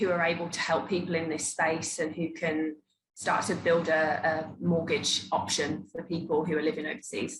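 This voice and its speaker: A woman's somewhat breathy voice at a fairly low pitch. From England, Birmingham. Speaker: mortgage broker. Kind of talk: interview.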